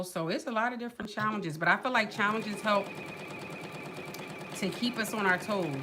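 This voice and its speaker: A woman with an American accent, over noticeable background noise. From northern US. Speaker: sewing YouTuber. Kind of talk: casual livestream chat. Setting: livestream. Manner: animated, rambling speech.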